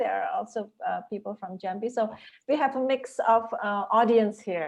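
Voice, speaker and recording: A woman with an American accent speaks at a fairly slow pace. Her fairly high pitch moves in very wide swings. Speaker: university lecturer, moderator. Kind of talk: webinar moderation. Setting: video call.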